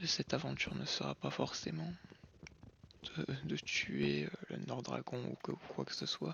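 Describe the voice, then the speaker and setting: A man's calm tone at a fairly slow pace. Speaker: gaming youtuber. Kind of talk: gameplay commentary. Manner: slow, calm; hesitant, many fillers.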